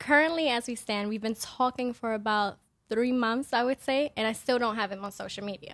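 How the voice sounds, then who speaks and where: A woman with a plain, everyday voice talks at a fairly high pitch and a fairly quick pace. Pitch variation is ordinary, and the recording is very clean with a silent background. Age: 20s. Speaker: podcast guest. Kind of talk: casual chat. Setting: studio.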